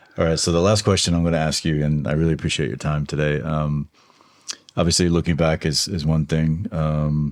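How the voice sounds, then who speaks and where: A man's very deep, low voice with an American accent and fairly even intonation at a fairly quick pace, over noticeable background noise. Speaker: podcast host. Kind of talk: interview; scripted outro.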